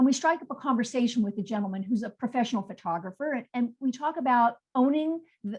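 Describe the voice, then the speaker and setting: Fairly high-pitched, a woman talks in an ordinary speaking voice. Her pace is moderate and her intonation lively. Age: 60s. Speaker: textile artist. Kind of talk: artist presentation on video call.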